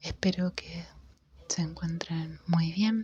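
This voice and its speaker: The speaker whispers in a soft-spoken way. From Argentina. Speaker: ASMR creator. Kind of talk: casual talk to camera. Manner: soft-spoken, whispered.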